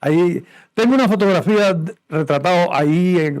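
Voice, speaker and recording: A man with a strong Cuban accent and ordinary pitch variation, on a very clean recording with a silent background. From Cuba, Sancti Spíritus. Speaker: musician. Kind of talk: interview. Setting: studio.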